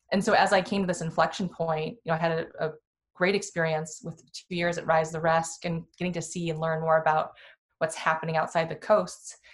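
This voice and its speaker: A woman with an American accent speaks at a fairly quick pace in a fairly low, somewhat breathy voice. Her intonation is monotone and flat. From Iowa, US Midwest. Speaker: venture capital investor. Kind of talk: casual interview.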